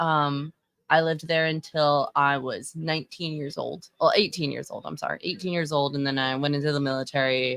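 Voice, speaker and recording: Fairly quick and with fairly even intonation, a woman with an American accent speaks at a very deep, low pitch. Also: big swings in loudness. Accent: Texan accent, shows when nervous. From Texas. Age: 30s. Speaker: livestreamer and fashion commentator. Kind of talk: casual live-stream commentary. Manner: casual, halting with many fillers.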